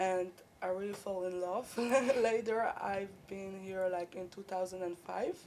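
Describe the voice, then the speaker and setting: A woman with a Polish accent speaks at a fairly slow pace in a medium-pitched voice, her dark, mellow tone held to a monotone, flat intonation. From Poland. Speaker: university student. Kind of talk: interview. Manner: halting.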